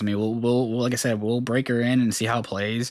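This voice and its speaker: This man talks at a very fast pace in a fairly low pitch, keeping his intonation fairly even. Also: very clean recording, silent background. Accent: American. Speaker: full-time gaming streamer. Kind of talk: live stream reaction chat. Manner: fast, casual.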